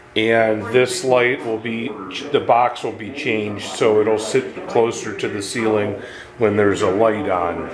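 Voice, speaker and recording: Over noticeable background noise, a man speaks at a fairly slow pace with fairly even intonation. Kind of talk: tutorial. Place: home room. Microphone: phone near.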